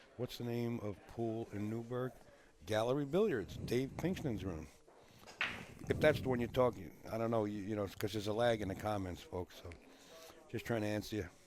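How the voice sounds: A man speaks with a fairly low pitch at a moderate pace. His tone is slightly mellow. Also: ordinary pitch variation.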